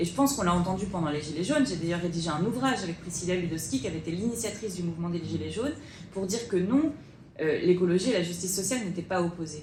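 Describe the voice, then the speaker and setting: Talking at a very fast pace, a woman uses fairly low pitch and lively intonation, with audible room echo and noticeable background noise. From France, Bordeaux. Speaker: politician. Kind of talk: panel debate.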